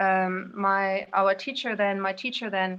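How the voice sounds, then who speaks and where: A woman speaks with a German accent. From Indonesia and Spain. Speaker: guest, yoga practitioner. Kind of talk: personal recollection.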